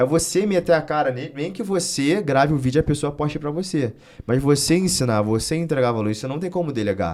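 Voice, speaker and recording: Fairly quick delivery from a man, pitched fairly high. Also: lively intonation. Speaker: wrestling coach and content creator. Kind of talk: interview conversation. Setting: studio. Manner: fast.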